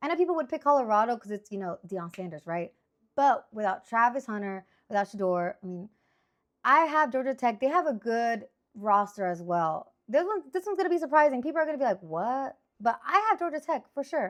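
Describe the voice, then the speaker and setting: A woman with a Spanish accent talks at a fairly quick pace in a high pitch. Her tone is animated, with very wide pitch swings. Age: 30s. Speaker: sports picks streamer. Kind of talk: casual monologue.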